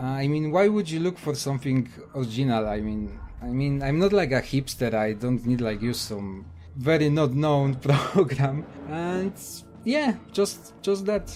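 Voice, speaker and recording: A man with a Polish accent, fairly high-pitched, at a fairly slow pace and with lively intonation. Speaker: gaming YouTuber. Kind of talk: casual Q&A answers to camera.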